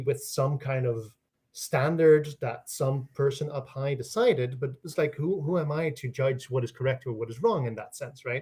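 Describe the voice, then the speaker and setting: Somewhat breathy, a man talks in a fairly high pitch with ordinary pitch variation. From Netherlands. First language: Dutch. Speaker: linguistics professor. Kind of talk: interview. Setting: livestream during a power outage. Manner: animated, with many fillers.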